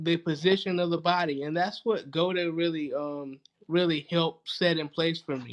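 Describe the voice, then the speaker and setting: Over a quiet background, a man speaks with a Southern US accent. His pitch is high. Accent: Southern US (Georgia). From US South, rural Georgia. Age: 30s. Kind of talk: casual interview chat.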